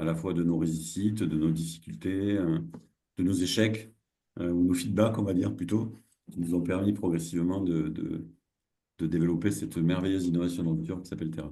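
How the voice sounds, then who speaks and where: A man with a very deep, low pitch and a dark, mellow tone talks at a fairly quick pace with lively intonation. He leaves long, frequent pauses, and room echo is audible. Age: 60s. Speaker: social entrepreneur and cooperative founder. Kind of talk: online masterclass presentation. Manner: halting, many hesitations and repetitions.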